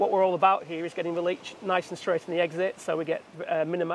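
A man with a high pitch talks in a monotone, flat intonation over light background noise. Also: dry sound with no echo. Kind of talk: technical explanation. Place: waterside. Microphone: phone near.

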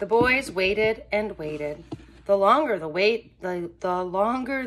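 The clip is reading aloud in a natural voice with lively intonation.

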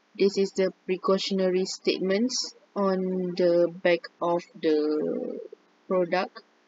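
With very even loudness and a very slow pace, a woman speaks at a medium pitch with ordinary pitch variation, the sound dry and close with no echo despite noticeable background noise. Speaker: university student. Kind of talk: class presentation.

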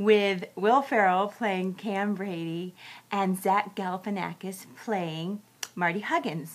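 The voice belongs to a woman. She talks at a fairly slow pace. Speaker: movie reviewer. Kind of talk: casual vlog review. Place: home room. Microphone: webcam.

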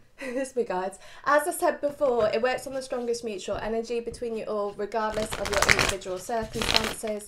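The speech moves at a fairly quick pace with hardly any pauses and ordinary pitch variation, over noticeable background noise. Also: woman. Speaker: tarot reader. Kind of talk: casual vlog chat. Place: home room. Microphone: phone near.

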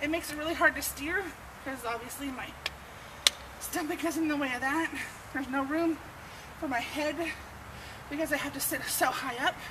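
A woman speaks in a raised, projected voice at a fairly quick pace. Noticeable background noise is present. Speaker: vlogger. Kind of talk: casual vlog chat. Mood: frustrated, candid. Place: street.

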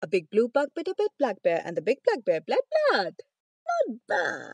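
A woman with a high pitch speaks in a playful tone, her pitch swinging very widely at a moderate pace. The sound is dry with no echo against a quiet background. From India. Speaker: voice artist. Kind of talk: tongue twister practice. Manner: casual, playful. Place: home room. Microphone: phone near.

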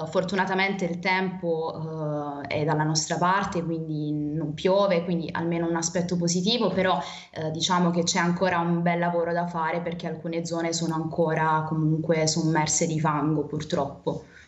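Monotone, flat intonation at a moderate pace, with audible room echo. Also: woman, fairly low pitch for a woman. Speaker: university student volunteer; remote interviewee. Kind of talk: interview. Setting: remote video link. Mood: calm, concerned. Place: home room. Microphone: video call.

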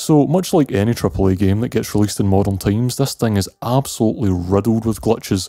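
Speaking very fast with a Scottish accent, a man uses a dark, mellow tone and lively intonation. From Scotland. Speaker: video game reviewer. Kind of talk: scripted review narration. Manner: casual.

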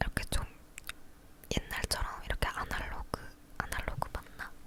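Whispered words from a woman against noticeable background noise. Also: moderate pace. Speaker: ASMR creator. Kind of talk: casual talk to camera. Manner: whispered, soft-spoken.

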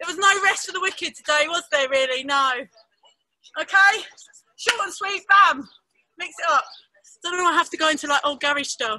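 A woman talks at a fairly quick pace in a raised, projected voice with lively intonation. Her tone is bright and sharp, and the sound is dry with no echo. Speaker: fitness instructor. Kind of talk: workout class instruction and counting. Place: garden.

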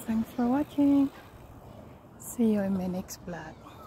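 A woman talks very slowly, with light background noise behind her. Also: dry sound with no echo. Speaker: home vlogger. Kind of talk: casual vlog chat. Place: garden. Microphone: phone near.

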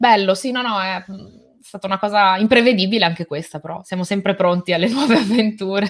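Against a quiet background, a woman with an unremarkable speaking voice talks at medium pitch and a fairly quick pace, with ordinary pitch variation. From Italy, born in Albania, moved at age 4; Italy. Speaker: tech and gaming YouTuber, event presenter; interview guest, presenter. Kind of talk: casual interview chat. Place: home room.

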